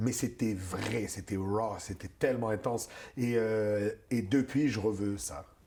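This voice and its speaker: Dark and mellow in tone, the voice moves at a very slow pace. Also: man, fairly low pitch for a man. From Moroccan-born, raised in North America. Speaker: stand-up comedian. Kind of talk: interview answer. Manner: energetic, warm, friendly.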